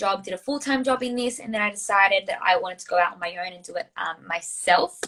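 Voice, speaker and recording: Bright and sharp in tone, a woman with an Australian accent speaks at a medium pitch with ordinary pitch variation. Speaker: social media coach. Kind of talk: casual interview.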